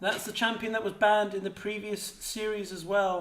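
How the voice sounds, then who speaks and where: A man with an English accent. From England. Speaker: esports caster. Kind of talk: live commentary.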